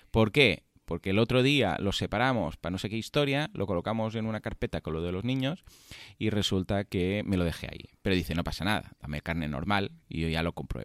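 Recorded very cleanly against a silent background, with a dry, close sound and no echo, a man talks at a fairly quick pace with a fairly low pitch and lively intonation. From Catalonia. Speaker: podcast host. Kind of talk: casual chat. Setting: hotel room. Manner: fast.

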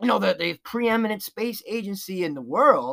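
In an American accent, the speaker talks at a fairly slow pace on a very clean recording with a silent background. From New York. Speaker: podcast host. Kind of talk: casual commentary. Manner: halting, many fillers.

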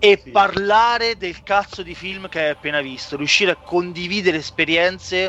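Speaking at a moderate pace, a man with a high-pitched voice uses ordinary pitch variation against noticeable background noise. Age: 30s. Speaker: podcast host. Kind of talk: casual chat.

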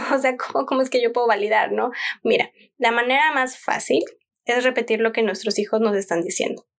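The pitch varies in an ordinary way. The pace is moderate. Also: woman. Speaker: parenting podcast host. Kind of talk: solo podcast talk. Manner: calm.

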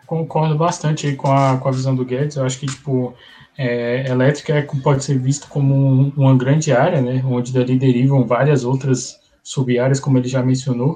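At a moderate pace, a man speaks in a medium pitch. His intonation is monotone and flat. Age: 20s. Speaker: engineering student. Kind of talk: casual interview. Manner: hesitant, many fillers.

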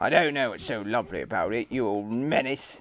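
A growling, put-on character voice from a man at a medium pitch, fairly quick in pace, on a very clean recording with a silent background. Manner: snarling.

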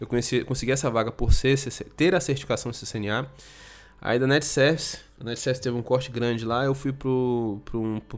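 The man's voice sits at a medium pitch. He talks at a fairly quick pace. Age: 30s. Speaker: IT professional and content creator. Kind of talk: solo podcast monologue. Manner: halting.

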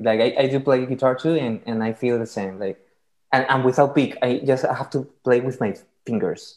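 Speaking with a Latin American accent, a man uses a medium pitch and fairly even intonation at a fairly quick pace. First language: Spanish. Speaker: podcast host. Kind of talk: casual interview. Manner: halting.

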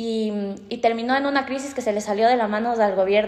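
With fairly even intonation, a woman speaks at a fairly high pitch. Noticeable background noise is present. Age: 20s. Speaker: law and psychology student. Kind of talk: casual interview.

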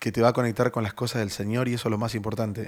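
This man speaks very fast at a medium pitch with fairly even intonation. The recording is very clean with a silent background. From Argentina, Buenos Aires. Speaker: youth pastor. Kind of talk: interview.

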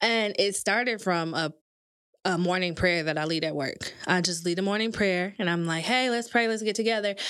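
An unremarkable speaking voice from a woman, medium in pitch, moderate in pace, with ordinary pitch variation, on a very clean recording with a silent background. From Michigan, Grand Rapids. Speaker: content writer. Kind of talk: casual chat. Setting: studio.

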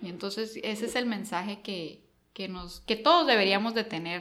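A woman with a Mexican accent speaks at medium pitch with ordinary pitch variation, with audible room echo around her. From coastal Mexico. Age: 30s. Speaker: cybersecurity company regional manager. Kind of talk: interview.

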